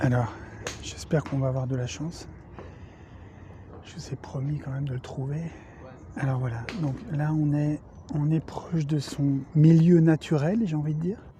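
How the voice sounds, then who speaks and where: Noticeable background noise accompanies fairly slow speech with frequent long pauses. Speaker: golf video creator. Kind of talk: comedic golf tutorial. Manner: soft-spoken, nature documentary parody.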